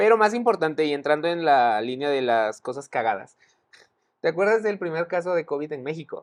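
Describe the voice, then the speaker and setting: The speaker has a Mexican accent. The delivery moves at a fairly quick pace. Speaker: podcast co-host. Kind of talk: casual chat. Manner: animated.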